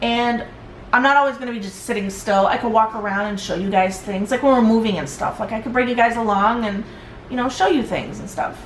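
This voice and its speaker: Over noticeable background noise and audible room echo, a woman talks at a fairly quick pace in a fairly high voice, with ordinary pitch variation and big swings in loudness. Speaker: vlogger. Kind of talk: personal vlog. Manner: halting.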